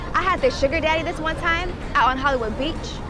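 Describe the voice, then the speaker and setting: A moderate pace, dry sound with no echo, and clear music in the background. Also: woman. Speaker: actor in drama. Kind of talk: scripted drama dialogue. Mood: sympathetic, chatty, then nervous. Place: car.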